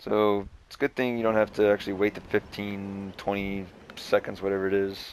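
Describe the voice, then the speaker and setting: A man speaks quietly and at a fairly quick pace, his pitch fairly low and his intonation monotone and flat. Noticeable background noise sits behind him. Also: big swings in loudness. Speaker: gaming youtuber. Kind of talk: let's play commentary.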